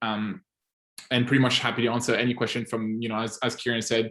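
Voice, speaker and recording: A man talks at a fairly quick pace. He has a Swiss French accent. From French-speaking Switzerland, near French border. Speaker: agency owner and software advisor. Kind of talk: casual group call Q&A. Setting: audio-only online call. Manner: animated.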